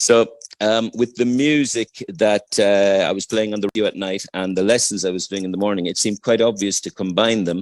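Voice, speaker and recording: A man's fairly low voice at a fairly quick pace, with fairly even intonation and a dry, close sound without echo. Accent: Irish. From Ireland. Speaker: English teacher and music educator. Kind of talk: radio interview.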